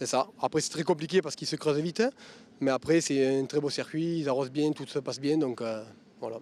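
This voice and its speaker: A man talks at a fairly quick pace in a fairly high voice with ordinary pitch variation. The recording is very clean, with a silent background. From southern France. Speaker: race driver. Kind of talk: interview.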